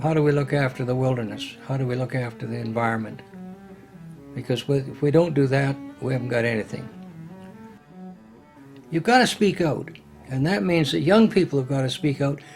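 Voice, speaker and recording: Over music in the background, a man with a Canadian accent talks at a fairly quick pace, leaving long, frequent pauses. His pitch is medium, with ordinary variation. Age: 80s+. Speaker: retired politician. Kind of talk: documentary interview answer.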